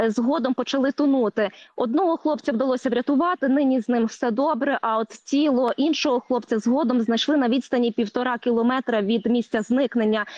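With hardly any pauses, a woman speaks at a high pitch with ordinary pitch variation, the sound dry with no echo and the background quiet. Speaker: TV field correspondent. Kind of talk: live news report. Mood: serious, somber. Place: waterside.

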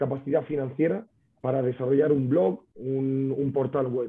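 The background is quiet. A man speaks in a fairly high pitch. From Spain. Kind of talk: webinar presentation. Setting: video call. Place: home room. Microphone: video call.

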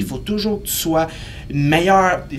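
Light background noise sits behind a man with a Quebec accent. He talks at a moderate pace. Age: 30s. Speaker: kinesiologist and fitness entrepreneur; podcast guest. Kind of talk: casual interview. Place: studio.

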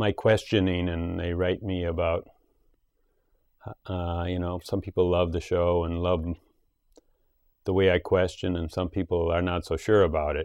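A man talks at a moderate pace in a very deep, low voice. The sound is dry with no echo, over a quiet background. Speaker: show host. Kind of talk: reflective monologue on a talk show. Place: home room. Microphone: lapel.

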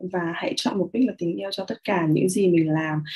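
A woman talks very fast against a quiet background. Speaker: meditation and mirror-work guide, live host. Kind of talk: guided meditation / self-love mirror work, live stream. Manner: friendly, conversational, welcoming. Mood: calm, gentle, warm. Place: home room. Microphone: webcam.

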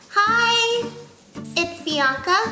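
A woman uses a raised, projected voice while clear music plays in the background. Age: 20s. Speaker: youtuber; vlogger. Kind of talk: unboxing vlog; casual vlog chat. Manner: animated. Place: home room.

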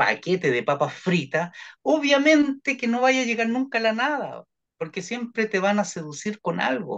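Against a quiet background, a man talks at a fairly slow pace with very wide pitch swings. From Chile. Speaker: therapist; guest. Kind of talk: interview. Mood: warm, advising, smiling. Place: home room. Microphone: video call.

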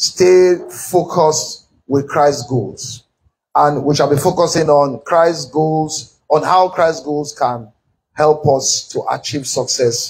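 Very slowly, a man delivers his words with ordinary pitch variation. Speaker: pastor teaching. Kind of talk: sermon. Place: church. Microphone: podium.

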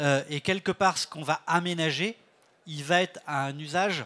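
A man with a fairly high pitch uses a normal speaking voice with ordinary pitch variation. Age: 60s. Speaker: director of a senior-friendly cities network; panel expert. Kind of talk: panel interview. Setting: stage with audience. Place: stage. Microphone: handheld.

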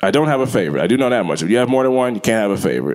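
Lively, animated delivery with vocal fry, set against a quiet background. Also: man. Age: 40s. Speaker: stand-up comedian. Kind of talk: stand-up comedy routine about parenting, with storytelling and crude jokes. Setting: stage with audience. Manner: animated, conversational, punchy storyteller with frequent self-laughter. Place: stage. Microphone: handheld.

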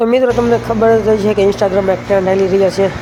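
Noticeable background noise behind a man's fairly level intonation. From Gujarat, Bhavnagar district. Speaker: vlogger. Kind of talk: travel vlog narration. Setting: outdoors, walking on pilgrimage.

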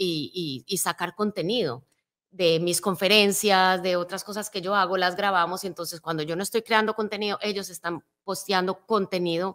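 A woman's voice at a moderate pace, with fairly even intonation and a quiet background. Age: 50s. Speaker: motivational speaker. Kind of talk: interview. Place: studio. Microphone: studio mic.

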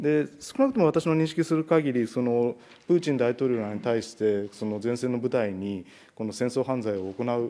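Ordinary pitch variation marks this man's voice, which has a dark, mellow tone. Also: moderate pace. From Japan. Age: 40s. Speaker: national legislator. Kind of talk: parliamentary questioning. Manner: formal. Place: meeting room. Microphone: podium.

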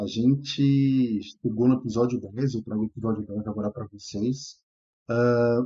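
A man talks at a moderate speed, his intonation fairly even, in a quiet background. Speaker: gaming channel host. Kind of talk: casual vlog chat. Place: home room. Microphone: headset.

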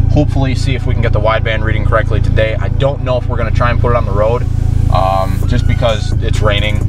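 A man at a very fast pace, dry sound with no echo, music in the background. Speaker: car hobbyist vlogger. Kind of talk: casual vlog chat. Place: car. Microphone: phone near.

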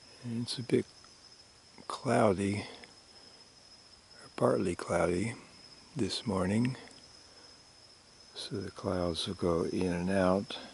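Soft-spoken man at a very slow pace with long, frequent pauses, dry sound with no echo and light background noise. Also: fairly low pitch for a man, ordinary pitch variation. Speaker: publisher and editor. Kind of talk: ASMR nature commentary. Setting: outdoors. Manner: soft-spoken, slow. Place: open country.

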